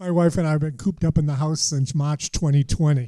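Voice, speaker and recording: Very fast and somewhat breathy, a man delivers his words in a dark, mellow tone at a fairly high pitch, with fairly even intonation. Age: 60s. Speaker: stand-up comedian. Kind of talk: stand-up. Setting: stage with audience.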